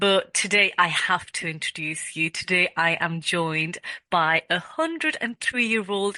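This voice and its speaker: A woman at medium pitch speaks at a fairly slow pace in a bright, sharp tone with ordinary pitch variation, the sound dry and close with no echo. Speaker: podcast host. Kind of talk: podcast interview.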